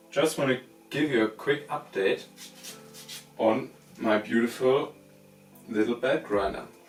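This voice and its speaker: A man at medium pitch and a fairly slow pace, with long, frequent pauses and music in the background. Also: very even loudness. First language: not English. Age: 20s. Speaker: knifemaker. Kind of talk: workshop tutorial talk to camera.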